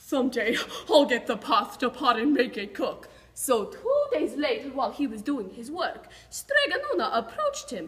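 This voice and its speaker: Her pitch swings very widely as a woman talks in a raised, projected voice. The pace is moderate. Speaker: storyteller. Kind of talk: animated storytelling with character voices. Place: classroom. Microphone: camera far.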